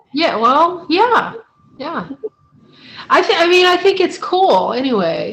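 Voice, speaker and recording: A woman at a very slow pace, her pitch swinging very widely, with audible room echo. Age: 40s. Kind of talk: casual chat.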